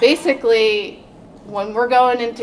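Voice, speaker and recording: A soft-spoken woman talks at a moderate pace with fairly even intonation. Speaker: code enforcement officer. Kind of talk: panel presentation.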